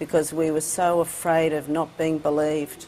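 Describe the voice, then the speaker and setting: A woman speaks with an Australian accent. Her voice is very deep and low, at a moderate pace. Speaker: advocate for care leavers. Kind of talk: interview. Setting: studio.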